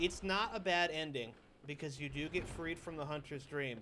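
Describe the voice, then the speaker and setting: Loud and bright with a sharp tone, a man speaks at a moderate pace in a fairly high pitch with fairly even intonation. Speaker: gaming streamer. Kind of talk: live gameplay stream chat.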